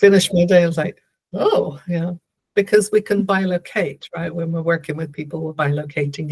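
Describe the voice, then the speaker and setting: A woman speaks with a somewhat breathy voice and fairly even intonation. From Canada. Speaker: theta healer and spiritual guide. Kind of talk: interview conversation. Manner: slow and clear.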